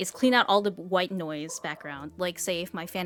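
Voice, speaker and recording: Noticeable background noise sits behind a woman's voice. She speaks at a moderate pace with ordinary pitch variation. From Asia. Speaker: video game streamer. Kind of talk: casual chat while gaming. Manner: stutters and stumbles over words; casual, filler-heavy.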